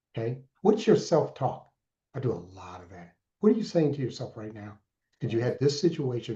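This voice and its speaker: A man's dark, mellow voice with vocal fry, very wide pitch swings, big swings in loudness and a fairly quick pace. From Alaska. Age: 60s. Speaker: mentor and entrepreneur. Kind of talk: interview. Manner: animated.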